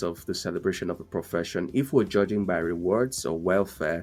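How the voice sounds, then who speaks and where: Over music in the background, a man talks at a moderate pace. His pitch variation is ordinary. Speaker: podcast host. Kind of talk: podcast interview questions.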